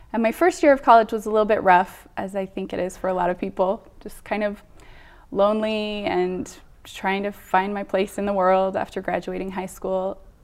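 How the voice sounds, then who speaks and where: On a very clean recording with a silent background, a woman with an American accent uses a plain, everyday voice at medium pitch, with fairly even intonation and a moderate pace. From Utah. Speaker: church member sharing faith story. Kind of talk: testimony.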